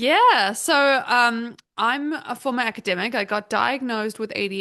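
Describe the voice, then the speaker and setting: A woman with a New Zealand accent, a bright, sharp tone, and ordinary pitch variation. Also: quiet background. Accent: Kiwi. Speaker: business consultant. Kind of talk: podcast interview.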